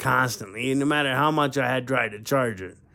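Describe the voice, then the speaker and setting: Speaking at a moderate pace, a man of medium pitch has an unremarkable speaking voice. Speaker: ham radio operator. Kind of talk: casual storytelling to camera. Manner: rambling, conversational.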